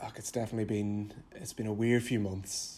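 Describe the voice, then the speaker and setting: A man with a Derry accent speaks at a moderate pace and a fairly low pitch. His tone is dark and mellow, his intonation fairly even. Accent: Northern Irish (Derry). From Northern Ireland, Derry. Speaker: junior doctor. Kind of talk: casual interview.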